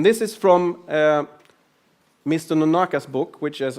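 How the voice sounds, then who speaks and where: Talking at a moderate pace, this man shows ordinary pitch variation. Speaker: lean and agile consultant. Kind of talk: conference talk.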